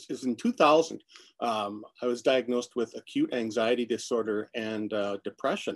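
In an unremarkable speaking voice, a man talks at a moderate pace and medium pitch with ordinary variation, the sound dry and close with no echo over a quiet background. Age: 50s. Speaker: musician and photographer. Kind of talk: casual chat.

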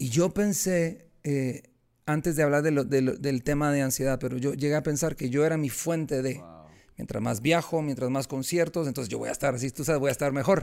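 A man at a fairly quick pace, ordinary pitch variation, very clean recording with a silent background. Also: fairly high pitch for a man. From Guatemala. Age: 40s. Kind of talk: interview testimony.

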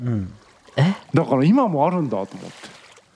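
Delivered at a fairly quick pace, the voice swings very widely in pitch over noticeable background noise. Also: man. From Japan, Tagawa, Fukuoka. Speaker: podcast co-host. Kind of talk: casual chat.

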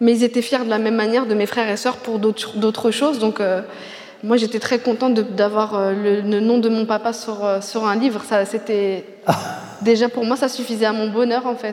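A woman at a fairly high pitch and moderate pace, flat and monotone, over noticeable background noise. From Paris suburbs, France. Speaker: novelist. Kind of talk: literary interview on stage.

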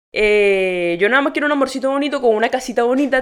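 A woman with a high pitch sounds animated, her pitch varying in an ordinary way. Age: 20s. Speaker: podcast host. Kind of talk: casual monologue.

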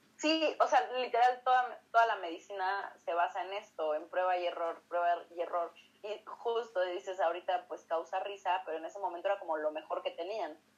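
A woman with a Mexican accent, medium pitch and a fairly quick pace. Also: ordinary pitch variation. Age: 20s. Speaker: co-host, physician. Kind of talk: casual educational chat.

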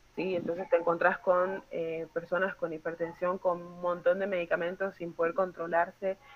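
A woman with a fairly low pitch speaks in a monotone, flat way at a moderate pace, with hardly any pauses. Her loudness swings widely, and noticeable background noise sits behind her. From Colombia, Chocó. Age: 30s. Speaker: psychiatrist. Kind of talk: workshop talk.

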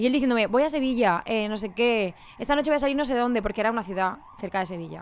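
A woman with a fairly high pitch talks at a very fast pace. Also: ordinary pitch variation. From Spain, Murcia. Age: 30s. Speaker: reality TV contestant and influencer. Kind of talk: casual chat.

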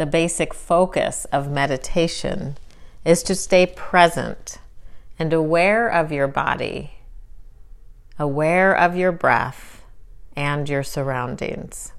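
With a calm, soothing tone, a woman speaks at a very slow pace with long, frequent pauses, a fairly low pitch, and ordinary pitch variation. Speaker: meditation guide. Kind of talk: guided meditation. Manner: slow, calm and soothing, with unhurried pauses; soft-spoken and gentle.

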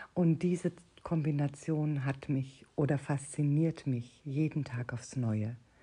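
Speaking at a very slow pace over a quiet background, a woman uses a very deep, low pitch, a dark, mellow tone, fairly even intonation and a somewhat breathy delivery. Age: 50s. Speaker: podcast host, personal development coach. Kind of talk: solo podcast monologue.

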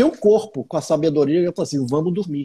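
Recorded very cleanly against a silent background, a man with a fairly high pitch speaks in a dark, mellow tone with ordinary pitch variation. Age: 40s. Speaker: meditation teacher and acupuncturist. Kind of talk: casual interview on a live stream.

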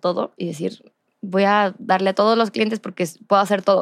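A woman with a Mexican accent talks at a medium pitch with fairly even intonation, in a dry, close sound with no echo. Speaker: podcast host and entrepreneur. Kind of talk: casual interview.

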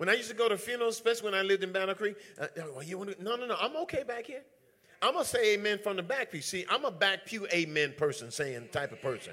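Raising and projecting his high voice, a man talks very fast in an animated tone with very wide pitch swings. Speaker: preacher. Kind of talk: sermon to a live church congregation. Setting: church. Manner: animated, call-and-response preaching, emphatic repetition.

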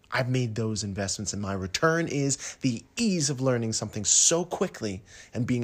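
With lively intonation and a moderate pace, a man of medium pitch speaks in an ordinary speaking voice. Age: 40s. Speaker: podcast host and performing arts coach. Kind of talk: solo podcast monologue.

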